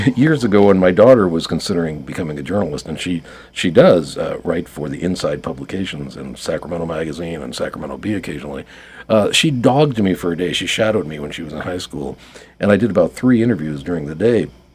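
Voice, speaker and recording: A man's very deep, low voice at a very fast pace, with lively intonation, big swings in loudness and noticeable background noise. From New York. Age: 60s. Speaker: writer and marketing consultant. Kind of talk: radio interview. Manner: hesitant, many fillers.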